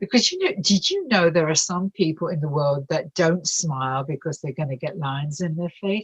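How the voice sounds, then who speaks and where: Somewhat breathy, this voice moves at a moderate pace with lively intonation and an English accent. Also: woman. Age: 80s+. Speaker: bereavement and addiction counselor. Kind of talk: interview. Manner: animated.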